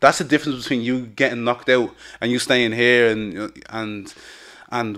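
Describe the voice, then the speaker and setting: Over a quiet background, a man with a Dublin accent talks at a moderate pace in a monotone, flat intonation. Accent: Dublin Irish. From Dublin, Ireland. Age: 20s. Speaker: MMA fighter. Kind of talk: interview. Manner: hesitant, filler-heavy. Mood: relaxed, confident. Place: studio. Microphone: studio mic.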